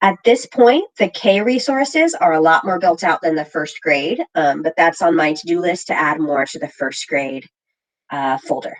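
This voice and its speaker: A woman in a normal speaking voice, fairly low in pitch with lively intonation, dry and close with no echo. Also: moderate pace. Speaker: literacy coach leading teacher training. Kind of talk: online training session.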